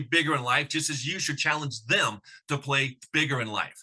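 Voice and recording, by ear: A man is speaking. His pitch sits fairly high, and his tone is bright and sharp.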